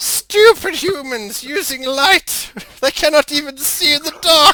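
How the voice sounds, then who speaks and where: A put-on character voice shouts at a high pitch and a fairly slow pace. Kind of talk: crude, taunting. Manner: shouting, mocking.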